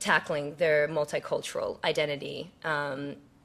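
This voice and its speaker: A woman with an American accent and a bright, sharp tone. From United States, moved from Seoul at age five. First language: Korean. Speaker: TV news political correspondent. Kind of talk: keynote speech. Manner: casual, many fillers and restarts.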